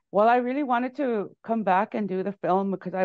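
A woman's voice carries ordinary pitch variation over a quiet background. The sound is dry, with no echo. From Canada, Cree First Nation in Manitoba. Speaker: musician and filmmaker; interview guest. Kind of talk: interview. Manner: halting, many fillers and repetitions. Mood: warm, friendly. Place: home room. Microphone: earbuds.

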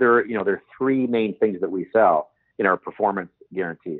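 With a Canadian accent, a man speaks in a plain, everyday voice. His pace is moderate and his pitch variation ordinary. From Canada, Toronto area. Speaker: tech company founder and CEO. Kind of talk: interview.

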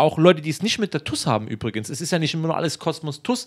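Against a quiet background, a man speaks in a fairly high pitch. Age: 30s. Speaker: footballer; interviewee. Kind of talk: interview. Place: home room. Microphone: handheld.

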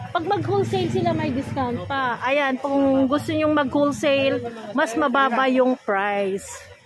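Her voice sits high for a woman, moving at a moderate pace with ordinary pitch variation over faint background noise.

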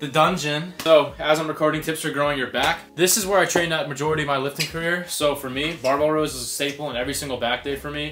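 Over clear music in the background, a man talks at a very fast pace with hardly any pauses and fairly even intonation. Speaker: fitness vlogger. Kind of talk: casual vlog chat. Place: gym. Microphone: camera far.

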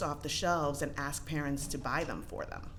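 A woman talks at a moderate pace. Room echo can be heard. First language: not English. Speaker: parent public commenter. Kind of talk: public comment. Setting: school board meeting at microphone. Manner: casual, hesitant with fillers.

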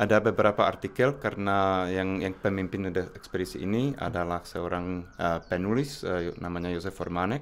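A man with a Czech accent speaks at a moderate pace with hardly any pauses. His pitch is very deep and low, with ordinary variation. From Czech Republic. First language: Czech (speaking Indonesian). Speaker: researcher and university lecturer; university lecturer. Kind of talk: interview. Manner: halting. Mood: calm, friendly. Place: office. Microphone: studio mic.

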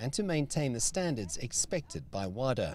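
The man's voice is recorded dry, with no echo. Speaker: athletics journalist. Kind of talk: interview answer. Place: stadium. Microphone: handheld.

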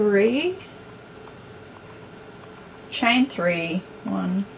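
A woman speaks at a very slow pace, medium-pitched, with vocal fry and lively intonation. Faint background noise is present.

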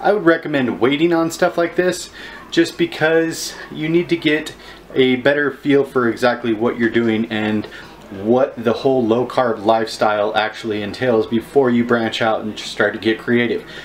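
At a moderate pace, a man talks with ordinary pitch variation over light background noise. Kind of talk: casual vlog chat. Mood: friendly advice-giving. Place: kitchen. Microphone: phone near.

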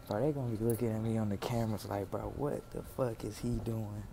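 Noticeable background noise runs through the clip. The speaker is a man. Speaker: vlogger. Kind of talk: casual vlog chat. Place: hall. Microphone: earbuds.

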